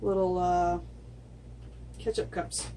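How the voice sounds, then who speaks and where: Audible room echo fills the recording. The woman in it speaks at a very slow pace. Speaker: acrylic pour artist. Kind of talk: tutorial. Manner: soft-spoken.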